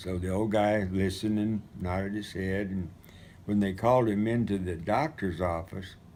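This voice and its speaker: A man speaks with a dark, mellow tone at a fairly low pitch and fairly even intonation. There is audible echo from the room. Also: moderate pace. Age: 80s+. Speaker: retired missionary recounting memories. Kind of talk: storytelling. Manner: halting.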